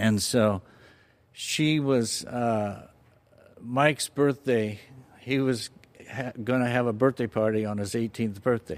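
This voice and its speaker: Very slow and broken by long, frequent pauses, the speech comes with an American accent and fairly even intonation. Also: man, medium pitch for a man. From Southern California, Fullerton. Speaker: church member sharing faith story. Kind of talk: personal testimony interview. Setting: church studio.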